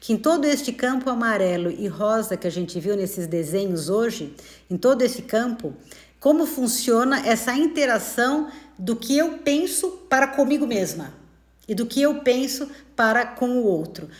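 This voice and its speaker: A woman's high voice has a warm tone and very wide pitch swings. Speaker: spiritist study teacher. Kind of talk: live-streamed study talk. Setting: live stream. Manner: fast; warm and conversational.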